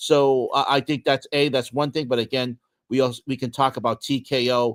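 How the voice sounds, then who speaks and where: A man at medium pitch and moderate pace, with fairly even intonation, in a dry, close sound with no echo and a very clean recording with a silent background. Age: 60s. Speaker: sports podcast co-host. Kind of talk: casual chat. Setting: livestream. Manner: halting.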